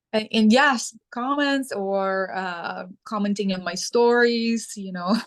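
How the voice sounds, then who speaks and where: A woman speaks very slowly at a fairly high pitch, with hardly any pauses and ordinary pitch variation. Her loudness swings widely. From Ukraine. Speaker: sustainability advocate. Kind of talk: interview. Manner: halting, with fillers.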